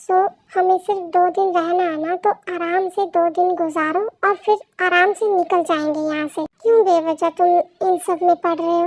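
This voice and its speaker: In a put-on character voice, a woman speaks at an extremely high pitch and a moderate pace with monotone, flat intonation, the sound dry and close with no echo. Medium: fan dub. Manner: commanding, self-assured.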